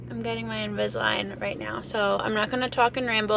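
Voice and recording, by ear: With audible room echo, a woman speaks at a medium pitch and moderate pace, showing vocal fry and ordinary pitch variation.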